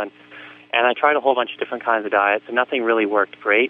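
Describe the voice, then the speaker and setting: With a Canadian accent, a man speaks in a fairly even intonation. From Canada, Vancouver. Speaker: professional triathlete and author. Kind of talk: interview. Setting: radio show.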